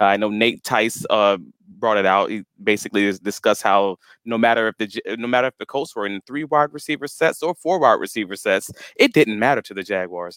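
In an ordinary speaking voice, a man talks at a fairly quick pace with a medium pitch and ordinary pitch variation. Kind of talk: casual sports analysis chat.

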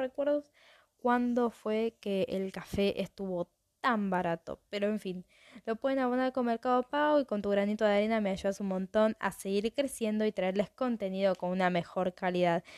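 In a dry, close sound with no echo, a woman with a fairly high voice speaks at a moderate pace with lively intonation. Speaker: true crime podcast host. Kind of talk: casual storytelling monologue.

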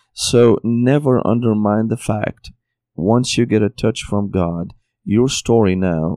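A speaker with a Syrian accent goes at a fairly slow pace in a dark, mellow tone, with ordinary pitch variation. The sound is dry and close with no echo, over a quiet background. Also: man. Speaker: pastor. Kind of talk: podcast interview.

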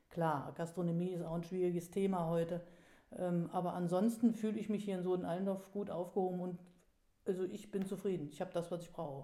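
This woman has an ordinary speaking voice at a medium pitch. She talks at a fairly quick pace with fairly even intonation. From Germany, northern Hesse. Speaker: local history author and collector. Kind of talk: interview.

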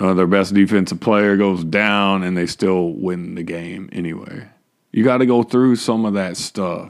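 Very deep, low male voice at a moderate pace, with ordinary pitch variation in a very clean recording with a silent background. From Texas. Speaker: podcast host. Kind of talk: solo monologue podcast. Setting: recording with kids in background.

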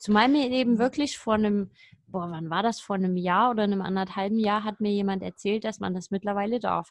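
A woman talks at a fairly quick pace at a medium pitch, in a normal speaking voice. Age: 30s. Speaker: podcast co-host. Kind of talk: casual chat.

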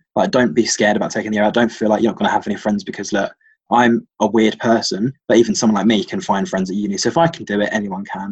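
This man speaks very fast in a London accent, his pitch fairly low. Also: ordinary pitch variation. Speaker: university student. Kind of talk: casual chat. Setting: conference call.

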